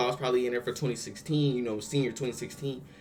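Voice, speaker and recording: A man at medium pitch, with music in the background. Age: 20s. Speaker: YouTube reaction creator. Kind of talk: casual vlog commentary. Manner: casual, filler-heavy.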